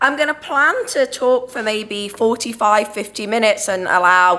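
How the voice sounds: Her tone bright and sharp, a woman talks with fairly even intonation.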